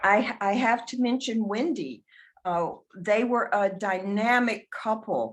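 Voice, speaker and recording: Speaking with a Southern US accent, a woman with a fairly high pitch talks at a fairly slow pace with very even loudness and ordinary pitch variation, in a very clean recording with a silent background. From US South. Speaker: memorial speaker. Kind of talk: memorial tribute. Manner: halting.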